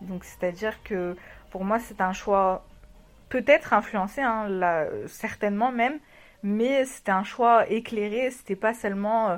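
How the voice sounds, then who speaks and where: Speaking at a very slow pace, a woman leaves long, frequent pauses and uses ordinary pitch variation. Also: fairly high pitch for a woman, very clean recording, silent background. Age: 30s. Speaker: married woman sharing her marriage story. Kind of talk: interview testimony. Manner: halting.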